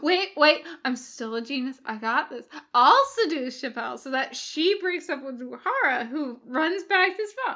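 A woman's put-on character voice, high-pitched with a bright, sharp tone, lively intonation and a fairly slow pace.

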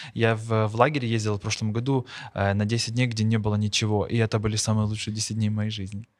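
On a very clean recording with a silent background, a man talks very fast at a fairly low pitch in a flat monotone. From Ukraine, Bila Tserkva. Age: young. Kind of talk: casual interview chat.

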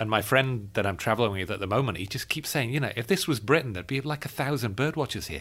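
Talking very fast with hardly any pauses, a man at a medium pitch comes through on a very clean recording with a silent background. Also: lively intonation. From Yorkshire, northern England. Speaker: birding podcast host. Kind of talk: casual chat. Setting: travelling in California.

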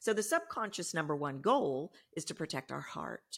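A woman with a Texan accent, moderate pace and ordinary pitch variation, on a very clean recording with a silent background. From Texas. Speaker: voice coach. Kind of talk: interview.

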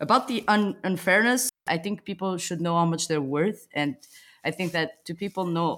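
A fairly quick pace in a Portuguese accent, on a very clean recording with a silent background. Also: woman. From Portugal. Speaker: podcast host. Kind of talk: casual interview chat. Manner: playful, joking.

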